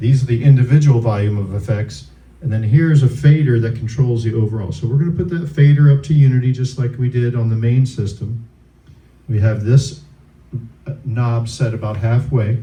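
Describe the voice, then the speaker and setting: At a fairly quick pace, a man talks in an unremarkable speaking voice with a medium pitch and ordinary pitch variation. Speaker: sound system instructor. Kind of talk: tutorial. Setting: room with wood, close to stage.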